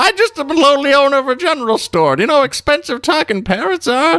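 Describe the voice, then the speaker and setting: Very fast and high-pitched, the delivery is a put-on character voice. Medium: actual play.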